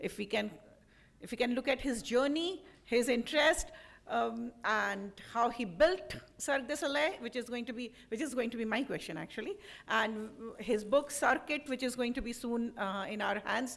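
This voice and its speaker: Loud and lively in her intonation, a woman talks at a moderate pace in a high pitch. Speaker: moderator. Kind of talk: question session moderation.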